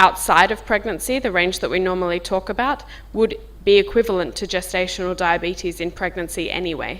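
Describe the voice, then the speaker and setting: A woman with a strong Australian accent talks at a moderate pace. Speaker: diabetes physician. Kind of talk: medical workshop talk. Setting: conference workshop room, filmed. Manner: informal.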